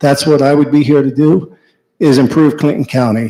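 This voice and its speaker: In an American accent, a man talks fairly quickly with fairly even intonation. His is a plain, everyday voice, pitched fairly high. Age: 50s. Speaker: business owner. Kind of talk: public comment. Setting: public meeting.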